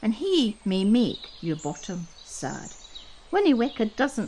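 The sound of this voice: Here the speaker uses an unforced reading voice.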